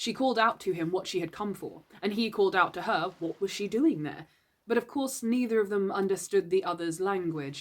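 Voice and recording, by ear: Lively intonation runs through this reading. It is read aloud in a natural voice.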